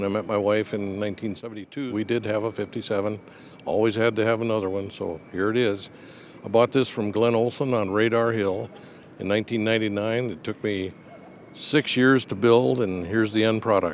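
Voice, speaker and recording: A fairly low-pitched male voice with an Upper Midwest accent, fairly even intonation and a moderate pace. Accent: Upper Midwest American. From Rapid City, South Dakota. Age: 70s. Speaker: hot rod builder. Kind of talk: casual interview.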